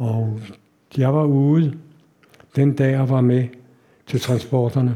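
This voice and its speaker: Speaking at a very slow pace with long, frequent pauses, a man uses a medium-pitched, somewhat breathy voice with a dark, mellow tone, monotone flat intonation and very even loudness. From Denmark, Copenhagen. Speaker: Holocaust survivor. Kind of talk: lecture. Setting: stage with audience.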